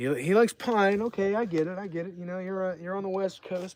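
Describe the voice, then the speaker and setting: A man's fairly quick, high-pitched speech with an American accent. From New Jersey. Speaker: streamer. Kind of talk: casual live stream Q&A. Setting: outdoors by a fire. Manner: loose, rambling delivery.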